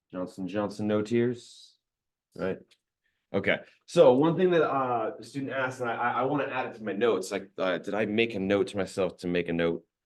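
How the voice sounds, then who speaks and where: This man's fairly low voice moves with lively intonation. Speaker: math instructor. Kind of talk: lecture. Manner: slow.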